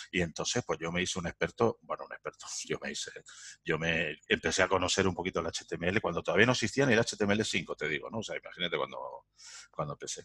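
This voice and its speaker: The man talks at a very fast pace in a dry, close sound with no echo. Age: 50s. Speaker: entrepreneur. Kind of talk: interview.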